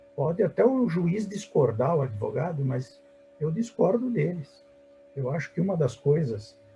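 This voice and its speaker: A man talks at a moderate pace with music in the background. His voice swings through a very wide pitch range. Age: 60s. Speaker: surgeon and medical professor. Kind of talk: webinar panel discussion. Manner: animated.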